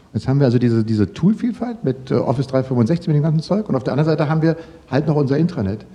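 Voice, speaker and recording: Noticeable background noise sits under a man talking at a very fast pace in a fairly high pitch. His pitch swings very widely while his loudness stays very even. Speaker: podcast host. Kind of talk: casual interview.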